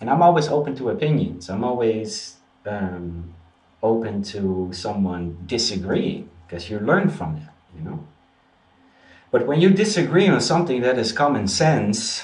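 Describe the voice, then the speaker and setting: This man has a medium pitch and a somewhat breathy voice with very wide pitch swings. He speaks at a moderate pace over audible room echo. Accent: Dutch. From Netherlands. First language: Dutch. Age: 30s. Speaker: spiritual practitioner and video host. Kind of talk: casual vlog monologue. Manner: halting, frequent repetitions and fillers.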